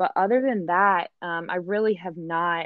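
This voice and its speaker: A woman speaks with a Midwestern American accent. She talks at a fairly slow pace. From Michigan. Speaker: advertising agency worker. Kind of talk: casual interview.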